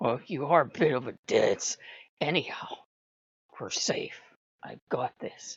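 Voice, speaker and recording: In a put-on character voice, raspy and at a middle pitch, the speaker goes at a fairly slow pace with long, frequent pauses. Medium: read story. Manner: calm, smug.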